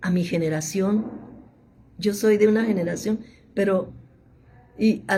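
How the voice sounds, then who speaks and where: A woman speaks in a somewhat breathy voice. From Mexico, Monterrey (Nuevo León). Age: 70s. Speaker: theologian and biblical scholar. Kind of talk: interview.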